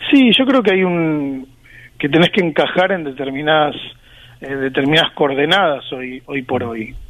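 Here is an unremarkable speaking voice from a man with a fairly high pitch. He keeps a moderate pace with ordinary pitch variation. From Argentina. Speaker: sports journalist and author. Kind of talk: interview.

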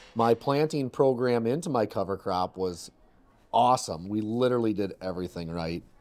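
On a very clean recording with a silent background, a man uses a normal speaking voice at medium pitch and moderate pace, with lively intonation. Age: 30s. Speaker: farmer. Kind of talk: casual chat.

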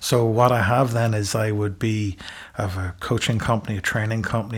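With an Irish accent, a man speaks very fast in a somewhat breathy, fairly low voice with monotone, flat intonation. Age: 50s. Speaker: executive communications coach. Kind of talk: interview.

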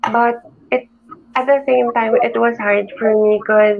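Against noticeable background noise, a woman with a Filipino accent speaks in a fairly high voice with ordinary pitch variation. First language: Tagalog. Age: 20s. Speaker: entrepreneur and YouTube creator. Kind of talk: casual interview with Taglish code-switching.

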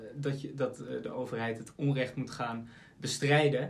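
A man speaks at a fairly slow pace in a fairly high, somewhat breathy voice, with audible room echo. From Aalsmeer, Netherlands. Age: 20s. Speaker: podcast host and law student. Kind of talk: interview.

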